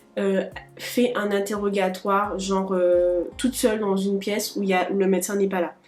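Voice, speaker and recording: With music in the background, a woman speaks at a medium pitch and with fairly even intonation. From Guadeloupe. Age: 20s. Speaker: medical student. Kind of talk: casual talk to camera.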